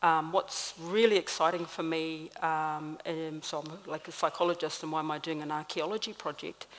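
A woman talks in a very deep, low voice with fairly even intonation. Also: moderate pace. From New Zealand, Māori. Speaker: clinical psychologist and lecturer. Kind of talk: panel talk. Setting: stage with audience. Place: stage. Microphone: podium.

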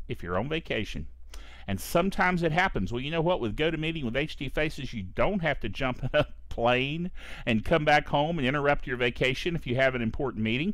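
A man talks at a very fast pace with lively intonation and some vocal fry. The background is quiet. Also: dry sound with no echo. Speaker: tech show host. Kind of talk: casual show host talk with sponsor read. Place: home room. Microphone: headset.

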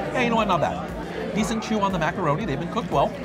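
A man is speaking. Music plays in the background. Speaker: food vlogger. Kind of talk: food review commentary. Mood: cheerful, enthusiastic. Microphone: phone near.

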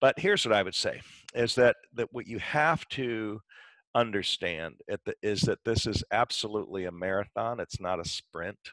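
The voice has a Midwestern US accent and ordinary pitch variation, recorded dry with no echo against a quiet background. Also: man, moderate pace. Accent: US Midwest. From Michigan. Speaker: dentist and dental educator; guest. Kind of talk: interview. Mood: calm, encouraging. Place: home room. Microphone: headset.

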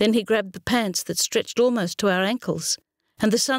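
Natural-voiced reading out loud over quiet surroundings, pitch varying in an ordinary way

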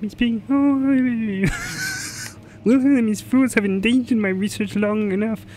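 A put-on character voice sits at a fairly high pitch, broken by long, frequent pauses. Background noise is clearly heard. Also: fairly slow pace. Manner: menacing, pompous.

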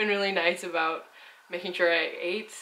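A woman speaks at a fairly low pitch with fairly even intonation. Noticeable background noise can be heard. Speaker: travel vlogger. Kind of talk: casual vlog chat. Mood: relaxed, calm. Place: home room.

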